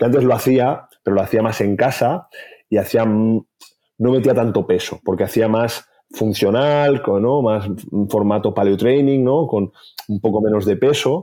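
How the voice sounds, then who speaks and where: A man speaks fairly slowly in a medium-pitched voice with a dark, mellow tone. His loudness stays very even, and his pitch varies in an ordinary way. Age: 40s. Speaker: health author and clinician. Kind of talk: interview.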